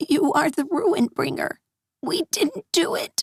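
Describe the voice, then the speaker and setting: A quiet, put-on character voice at an extremely high pitch moves at a fairly slow pace. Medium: read story. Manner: hushed, hesitant.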